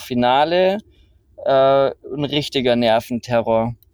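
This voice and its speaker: The speaker is a man with a medium pitch. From Bavaria, Rosenheim area. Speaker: entrepreneur and climber. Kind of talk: casual interview. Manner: hesitant, many fillers.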